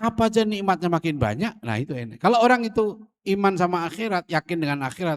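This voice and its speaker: Delivered at a very fast pace with very wide pitch swings, the speech sounds dry and close with no echo, on a very clean recording with a silent background. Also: man. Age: 60s. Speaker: Islamic preacher. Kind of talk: religious lecture. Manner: casual, conversational.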